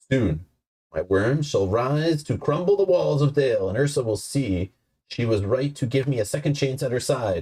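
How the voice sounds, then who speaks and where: The put-on character voice is gravelly and delivered at a moderate pace. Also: man, medium pitch for a man. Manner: menacing, sinister.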